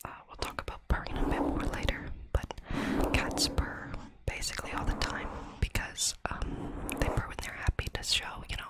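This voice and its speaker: Noticeable background noise sits behind whispered speech at a moderate pace. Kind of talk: ASMR facts narration to camera. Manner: whispered, soft-spoken.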